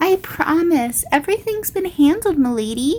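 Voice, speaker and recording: Squeaky and extremely high-pitched, a woman does a put-on character voice at a moderate pace. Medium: read story. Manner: upbeat.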